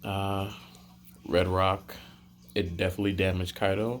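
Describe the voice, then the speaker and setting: A quiet man's voice, fairly low in pitch, on a very clean recording with a silent background. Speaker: anime and manga reviewer. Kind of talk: casual video review. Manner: casual, filler-heavy.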